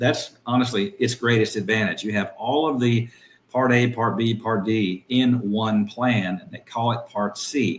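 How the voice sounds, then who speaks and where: In a plain, everyday voice with an American accent, the speaker moves at a fairly slow pace with ordinary pitch variation. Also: man, medium pitch for a man. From Tallahassee, Florida (US South). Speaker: insurance business owner. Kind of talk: interview. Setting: live stream.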